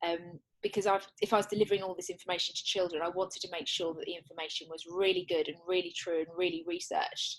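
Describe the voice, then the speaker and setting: A woman with an English accent talks at a very fast pace with hardly any pauses. Her fairly low voice stays in a monotone, flat intonation. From England. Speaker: children's author and wellbeing coach. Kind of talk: interview. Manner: halting, with frequent restarts.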